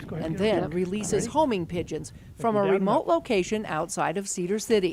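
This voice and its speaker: Against noticeable background noise, a woman talks at a moderate pace with medium pitch and lively intonation. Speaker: TV news reporter. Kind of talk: TV news report narration.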